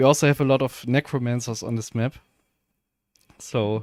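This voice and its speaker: A man speaks at a fairly slow pace with fairly even intonation. The recording is very clean with a silent background and a dry, close sound with no echo. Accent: German. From Germany. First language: German. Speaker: video game streamer. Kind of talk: live gameplay stream commentary. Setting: live stream. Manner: casual, hesitant with fillers.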